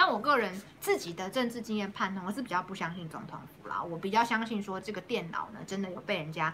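Noticeable background noise sits behind a woman speaking at a fairly quick pace. Her pitch is medium, with ordinary variation. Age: young. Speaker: city councillor, politician. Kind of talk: interview, casual chat.

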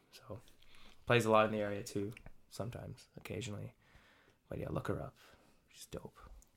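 Fairly quick speech from a man with a fairly low pitch, on a very clean recording with a silent background. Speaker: music student and composer. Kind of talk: casual interview. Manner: hesitant, many fillers.

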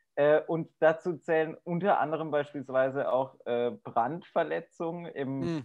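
A man speaks at a very slow pace with hardly any pauses. His pitch variation is ordinary. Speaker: podcast co-host with an office job. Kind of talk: casual chat. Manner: chatty, humorous.

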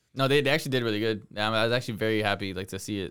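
A fairly low-pitched man at a very fast pace with ordinary pitch variation, on a very clean recording with a silent background. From Miami. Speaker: podcast co-host. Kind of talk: casual chat.

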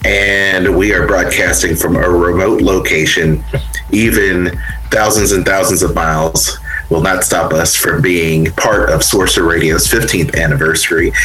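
With noticeable background noise, a man speaks at a moderate pace in very even loudness. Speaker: radio host. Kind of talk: radio dj patter, anniversary show hosting with interviews. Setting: remote recording, poor internet, from a small cramped space. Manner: upbeat, warm, polished radio-announcer delivery.

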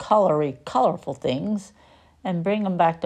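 With ordinary pitch variation, the speaker reads plainly aloud.

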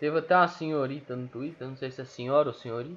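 A man speaking at a fairly quick pace. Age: 20s. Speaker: football fan podcaster. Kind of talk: casual solo commentary. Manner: animated.

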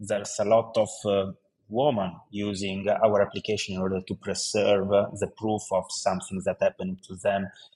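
In an Italian accent, a man talks at a moderate pace with a dark, mellow tone, fairly low pitch and monotone, flat intonation. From Italy. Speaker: tech startup founder. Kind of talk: interview. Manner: halting.

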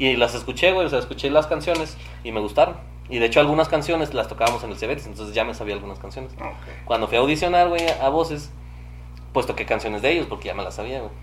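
Through noticeable background noise, a man with a Mexican accent speaks very fast, his loudness swinging widely. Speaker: musician and podcaster. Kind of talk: casual chat.

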